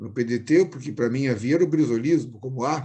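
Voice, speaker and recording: A man at a moderate pace, medium in pitch with ordinary pitch variation. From southern Brazil, Rio Grande do Sul. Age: 60s. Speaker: politician. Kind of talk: interview. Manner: halting.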